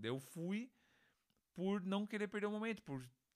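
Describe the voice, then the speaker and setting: A man's bright, sharp-toned voice at a very fast pace. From Brazil, Santa Catarina (Criciúma). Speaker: music producer. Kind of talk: casual interview chat.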